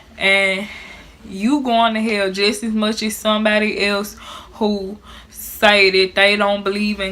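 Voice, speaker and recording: Over noticeable background noise, a woman with a Memphis accent talks fairly slowly at medium pitch in a monotone, flat delivery. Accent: Southern US, Memphis. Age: 20s. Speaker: YouTube vlogger. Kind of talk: casual talk to camera.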